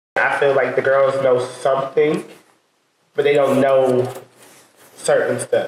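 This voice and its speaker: A man has an unremarkable speaking voice at a medium pitch. He keeps a moderate pace and fairly even intonation. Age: 20s. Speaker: public health worker. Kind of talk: casual chat.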